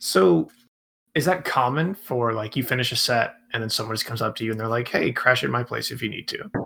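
A man's bright, sharp, medium-pitched voice at a fairly quick pace. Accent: American. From Atlanta, US South. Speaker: podcast host. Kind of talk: interview.

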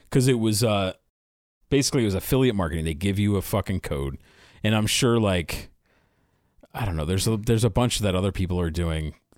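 A man with an American accent talks at a very fast pace, broken by long, frequent pauses. His pitch is fairly low, with ordinary variation. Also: very clean recording, silent background. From Philadelphia area, US. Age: 40s. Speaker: podcaster. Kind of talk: casual chat.

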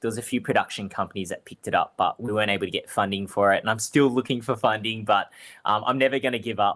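Talking at a very fast pace with fairly even intonation, a man with an Australian accent comes through on a very clean recording with a silent background. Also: medium pitch for a man. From Australia, Melbourne (Springvale). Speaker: fruiterer and cooking show contestant. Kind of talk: interview.

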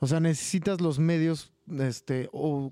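A man speaks with a dark, mellow tone. His pitch variation is ordinary. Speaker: podcast co-host. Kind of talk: casual chat.

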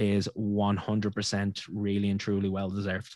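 A man's fairly low voice with an Irish accent and monotone, flat intonation, in a very clean recording with a silent background. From Ireland. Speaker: podcast host. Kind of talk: interview.

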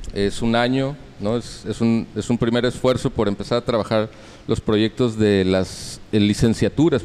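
A man with an unremarkable speaking voice talks at a medium pitch and a moderate pace, with fairly even intonation. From Mexico City. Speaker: cultural institute director. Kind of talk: interview answers on culture.

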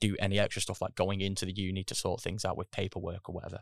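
A man speaks at a very fast pace in a fairly low pitch, his intonation flat and monotone. The sound is dry and close with no echo, over a quiet background. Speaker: mature university student. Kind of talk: casual interview.

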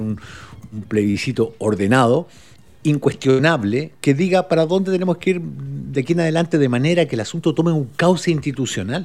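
The pitch of this man's voice swings very widely. He keeps a moderate pace. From Uruguay (Montevideo area). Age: 50s. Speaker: podcast guest, social commentator. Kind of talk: casual conversation.

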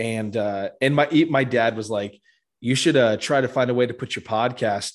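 Against a quiet background, a man speaks at a moderate pace with medium pitch and ordinary pitch variation. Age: 20s. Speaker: podcast host. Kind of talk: casual chat. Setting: call.

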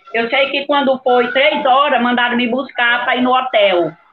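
A woman speaks in a high pitch. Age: 70s. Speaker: long-time football club staff member. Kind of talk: casual chat.

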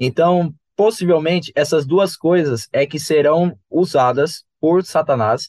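This man has an unremarkable speaking voice, pitched fairly high and delivered at a fairly slow pace with ordinary pitch variation, captured in a dry, close recording with no echo that is very clean against a silent background. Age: 20s. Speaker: electrical designer and church youth teacher. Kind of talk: casual Bible study discussion.

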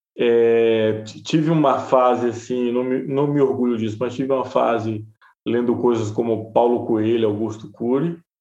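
A man with an unremarkable speaking voice talks at a fairly slow pace. His intonation stays fairly even. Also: medium pitch for a man. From Bahia interior, Brazil. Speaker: journalist and podcaster. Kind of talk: interview conversation.

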